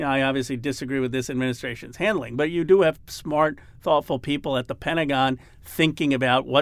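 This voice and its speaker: Moving at a fairly quick pace, a man with an American accent shows ordinary pitch variation. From Philadelphia, US. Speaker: congressman. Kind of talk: casual interview. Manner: halting, many fillers.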